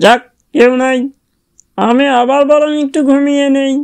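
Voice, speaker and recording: A high-pitched cartoonish character voice at a fairly slow pace. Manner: proud, sly.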